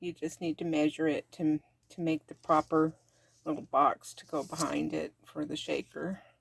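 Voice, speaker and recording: A woman speaks at a moderate pace in a very deep, low pitch with monotone, flat intonation. The sound is dry and close, with no echo. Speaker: crafter. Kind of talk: craft tutorial talk to camera. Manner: casual, hesitant.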